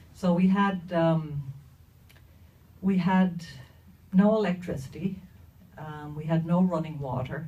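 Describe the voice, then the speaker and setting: Somewhat breathy and fairly low for a woman, her dark, mellow voice moves at a fairly slow pace with long, frequent pauses, fairly even intonation, big swings in loudness and audible room echo. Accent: Dublin. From Ireland, inner-city Dublin. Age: 60s. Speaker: storyteller. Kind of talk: personal storytelling to an audience. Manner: hesitant, many fillers.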